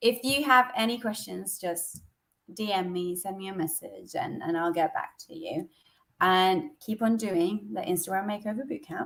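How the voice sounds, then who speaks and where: This woman has an ordinary speaking voice at a medium pitch. Her intonation is lively and her pace moderate. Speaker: social media coach. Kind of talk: live stream coaching session. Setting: Instagram live video call.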